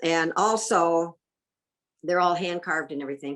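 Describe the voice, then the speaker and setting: This woman has an ordinary speaking voice with an American accent. Her pitch is fairly low, with ordinary pitch variation. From US Midwest, Michigan and northern Indiana. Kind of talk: interview.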